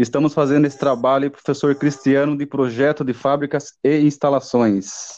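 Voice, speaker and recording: Over a quiet background, a man speaks at a moderate pace with hardly any pauses. His fairly high voice has monotone, flat intonation. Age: 30s. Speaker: engineering student. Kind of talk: student class presentation.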